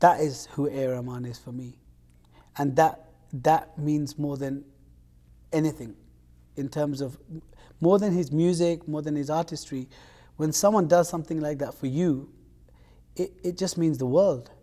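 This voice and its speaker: The voice has a dark, mellow tone and ordinary pitch variation. It moves at a moderate pace with long, frequent pauses. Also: man, fairly high pitch for a man. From London, England. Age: young. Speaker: singer. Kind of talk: interview.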